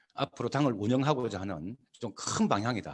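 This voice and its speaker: Medium-pitched male voice with vocal fry and very wide pitch swings. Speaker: party leader. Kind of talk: lecture. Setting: video call. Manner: halting, many fillers.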